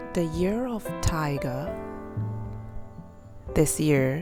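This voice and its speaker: Music plays behind a woman whose very deep, low voice swings very widely in pitch. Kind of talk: casual voice-over narration of a drawing process. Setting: home recording with new microphone. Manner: hesitant, many fillers.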